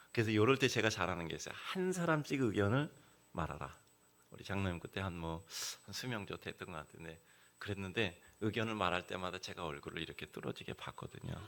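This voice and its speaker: A man's fairly low voice at a very fast pace, with big swings in loudness. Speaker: guest preacher. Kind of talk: sermon. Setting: church. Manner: conversational storytelling with fillers.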